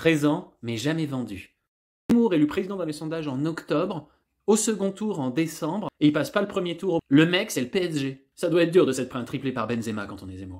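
Against a quiet background, a man talks at a fairly quick pace with a fairly high pitch. His pitch swings very wide, and his loudness rises and falls sharply. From France. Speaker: stand-up comedian. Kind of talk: stand-up comedy, a rapid-fire political roast with punchlines and audience laughter. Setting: stage with audience. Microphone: phone near.

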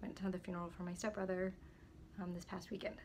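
A woman speaks at a medium pitch. Noticeable background noise is present. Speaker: real estate agent. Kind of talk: casual talk to camera.

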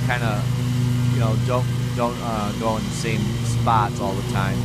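The speech moves at a moderate pace with a dry sound with no echo, while music plays in the background. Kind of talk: casual vlog chat. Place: garden. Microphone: phone near.

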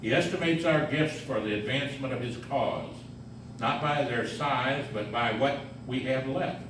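A man talks at a fairly slow pace with ordinary pitch variation. Audible room echo and noticeable background noise surround his voice. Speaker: reader at a mission service. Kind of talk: devotional reading. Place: hall. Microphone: camera far.

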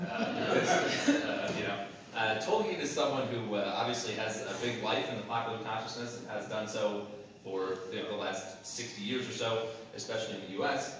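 Over light background noise and strong room echo, a man speaks at a moderate pace with fairly even intonation. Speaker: lecturer. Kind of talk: lecture. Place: hall. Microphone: camera far.

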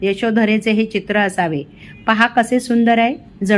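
In a natural voice, the text is read aloud with fairly even intonation.

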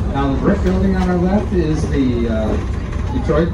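There is loud background noise. A man is speaking. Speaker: train tour guide. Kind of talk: tour commentary. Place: train.

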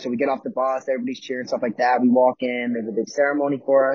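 Against a quiet background, a man with an American accent talks at a very fast pace, the sound dry with no echo. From Philadelphia, US. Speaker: college hockey player; guest. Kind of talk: casual chat. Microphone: video call.

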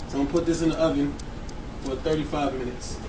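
Noticeable background noise fills the clip. Over it, a man speaks at a fairly quick pace. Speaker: home cook host. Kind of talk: cooking tutorial. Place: kitchen. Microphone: camera far.

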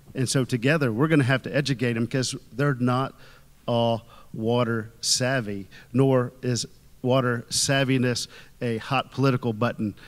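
With a Texan accent, a man talks at a moderate pace and keeps his intonation fairly even. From Texas. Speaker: state legislator. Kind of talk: panel discussion. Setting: stage with audience at a conference. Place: stage. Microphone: handheld.

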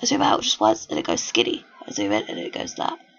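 Noticeable background noise accompanies speech at a very fast pace. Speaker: let's play gamer. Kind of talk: casual gameplay commentary.

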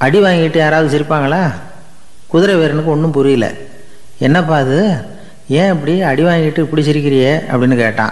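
Speaking at a very even loudness, a man uses ordinary pitch variation. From Tamil Nadu, India. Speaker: radio broadcaster. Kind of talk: radio storytelling talk. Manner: plain, conversational, gently humorous. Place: studio.

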